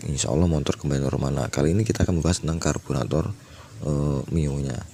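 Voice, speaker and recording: A man speaks with a very deep, low pitch and ordinary pitch variation. There is noticeable background noise. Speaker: motorcycle mechanic. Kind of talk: tutorial. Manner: hesitant, many fillers.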